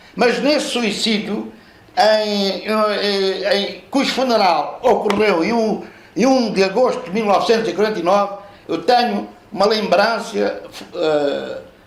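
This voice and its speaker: Ordinary pitch variation comes through amid audible room echo and noticeable background noise. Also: man, high pitch for a man, fairly slow pace. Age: 70s. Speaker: author and professor. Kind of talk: book launch talk. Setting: live audience at a book launch. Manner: halting, many repetitions and fillers.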